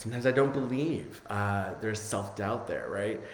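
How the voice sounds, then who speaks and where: Ordinary pitch variation with audible room echo. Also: man. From Italian family, grew up speaking Italian. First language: Italian. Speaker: spiritual coach. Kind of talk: live-streamed spiritual lesson; guided meditation. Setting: Facebook live stream. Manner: hesitant, many fillers.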